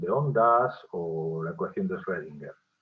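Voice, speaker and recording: Very wide pitch swings at a fairly slow pace. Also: man. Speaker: professor. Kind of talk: lecture. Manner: halting.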